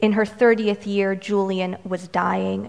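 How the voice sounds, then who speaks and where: The speaker is a woman. Her voice lands at a medium pitch. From Romanian-American, US. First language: Romanian. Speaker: poet. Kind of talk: poetry reading, performed poem. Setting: stage with audience, live reading. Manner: light and humorous in banter.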